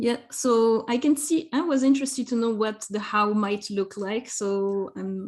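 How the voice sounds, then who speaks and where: A woman's fairly high voice, somewhat breathy, its pitch varying in an ordinary way. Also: fairly slow pace. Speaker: education trainer. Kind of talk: online workshop presentation.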